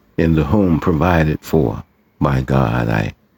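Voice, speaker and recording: A man talks at a very slow pace. His pitch swings very widely. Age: 60s. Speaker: poet and writer. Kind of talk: personal testimony.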